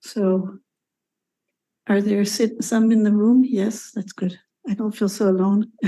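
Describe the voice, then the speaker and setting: Long, frequent pauses in a somewhat breathy, dark, mellow voice with monotone, flat intonation and an American accent. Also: woman, medium pitch for a woman. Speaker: conference speaker, nuclear sector professional. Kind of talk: conference presentation. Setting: conference hall with audience. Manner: halting, many fillers.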